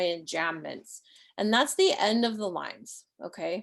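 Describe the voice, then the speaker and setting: Using an ordinary speaking voice, a woman talks at a fairly slow pace in a medium pitch with ordinary pitch variation. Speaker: poet and writing teacher. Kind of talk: online workshop lecture. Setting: livestream video call. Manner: casual, filler-heavy.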